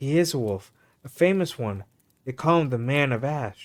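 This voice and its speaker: Someone delivers a shaky, put-on character voice at a moderate pace. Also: man, medium pitch for a man. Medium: read story. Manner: trembling, excited.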